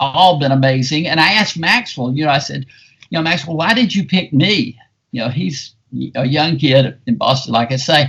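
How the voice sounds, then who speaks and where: This man has a Southern US accent and a fairly high pitch. His intonation is lively and his pace moderate. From US South, South Carolina. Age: 70s. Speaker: film critic. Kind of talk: podcast interview. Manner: animated.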